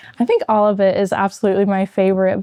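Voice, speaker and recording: At a very fast pace, a woman speaks with medium pitch and monotone, flat intonation in a dark, mellow tone. The sound is dry and close with no echo. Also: quiet background. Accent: American. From Maine, US. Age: 20s. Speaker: nursing student, former pageant titleholder. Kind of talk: interview.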